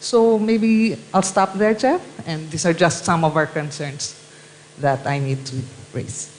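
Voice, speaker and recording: The speech moves at a fairly slow pace. There is noticeable background noise. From Philippines. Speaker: panelist. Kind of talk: panel discussion. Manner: halting.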